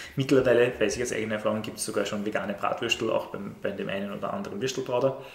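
A man talking at a very fast pace with hardly any pauses, over noticeable background noise. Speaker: teacher. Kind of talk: casual chat.

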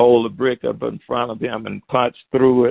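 This man has a Southern US accent. His pace is moderate. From Alabama, US South. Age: 70s. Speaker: author and taekwondo instructor. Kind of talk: radio interview.

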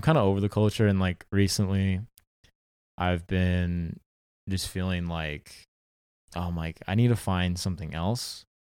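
On a very clean recording with a silent background, a man with an American accent speaks at a moderate pace in a very deep, low pitch with fairly even intonation. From Southern California, Orange County. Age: 20s. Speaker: actor. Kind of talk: casual chat.

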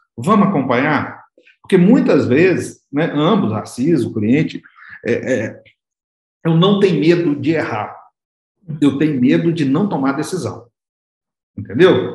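Audible room echo surrounds a man speaking fairly slowly at a fairly high pitch, somewhat breathy. His pitch swings very widely, and he takes long, frequent pauses. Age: 40s. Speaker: business consultant. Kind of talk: interview.

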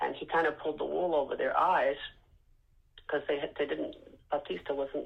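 This woman speaks at a moderate pace. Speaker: host's mother. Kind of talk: interview. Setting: phone call.

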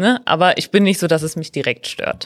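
A woman has a plain, everyday voice, speaking at a moderate pace with ordinary pitch variation. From Ruhr area, Germany (Mülheim). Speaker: trainee teacher. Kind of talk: casual interview.

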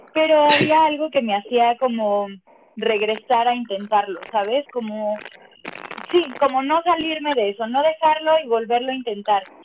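A woman with a high pitch speaks at a moderate pace with lively intonation. Noticeable background noise is present. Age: 30s. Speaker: stage actress and musical performer. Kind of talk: casual chat.

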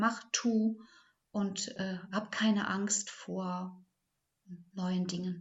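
A woman talks in a medium pitch, somewhat breathy, with monotone, flat intonation. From Ahrtal, Rhineland-Palatinate, Germany. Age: 60s. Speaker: kindergarten teacher. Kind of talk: interview. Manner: halting.

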